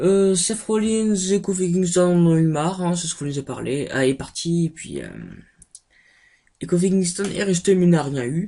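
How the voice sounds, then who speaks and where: Soft-spoken delivery comes at a fairly slow pace. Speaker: wrestling show reviewer. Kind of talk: casual video review. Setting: recording in front of a camera. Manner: hesitant, many fillers.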